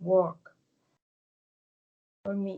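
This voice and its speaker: A woman with a Spanish accent speaks very slowly in a dark, mellow tone. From Venezuela. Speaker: participant asking questions at a channeling meetup. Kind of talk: Q&A question. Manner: halting.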